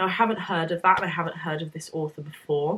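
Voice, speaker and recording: A woman speaks with a British accent. Her tone is bright and sharp. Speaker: book vlogger. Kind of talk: casual chat. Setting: home, evening after shower.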